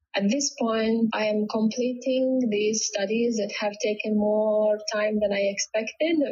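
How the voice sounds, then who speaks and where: Speaking with hardly any pauses and very even loudness, a woman with a Latvian accent is heard over noticeable background noise. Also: fairly high pitch for a woman, fairly even intonation. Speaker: home stager. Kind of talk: interview conversation. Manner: halting.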